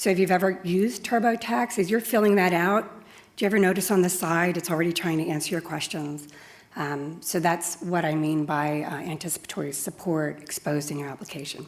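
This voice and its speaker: A woman with an unremarkable speaking voice talks at a fairly quick pace, her pitch fairly low with ordinary pitch variation. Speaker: software customer support executive. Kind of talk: conference talk.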